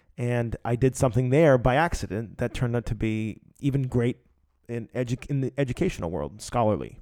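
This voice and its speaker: A man's medium-pitched voice with a dark, mellow tone comes through on a very clean recording with a silent background. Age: 30s. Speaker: podcast host, writer. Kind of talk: solo monologue podcast. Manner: casual, many fillers.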